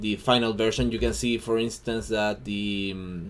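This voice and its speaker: A man speaks with a Chilean Spanish accent. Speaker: hobby digital artist. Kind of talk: tutorial. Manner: halting, many fillers and repeats.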